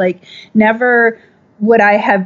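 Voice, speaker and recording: Speaking at a fairly slow pace, a woman with an American accent keeps a monotone, flat intonation. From Minnesota, US Midwest. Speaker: clothing company founder. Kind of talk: interview.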